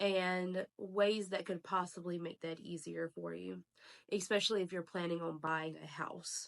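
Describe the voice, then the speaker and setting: The sound is dry and close, with no echo. A woman speaks at a fairly low pitch, fairly slowly, in a monotone, flat way. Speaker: realtor. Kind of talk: casual vlog. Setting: at home.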